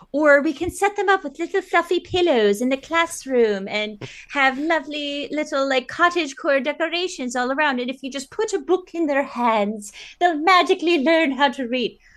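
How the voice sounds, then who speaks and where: A woman puts on a character voice, pitched high and breathy. She keeps a moderate pace. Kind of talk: sing-song, sarcastic. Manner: airy, fairy-like, mockingly sweet.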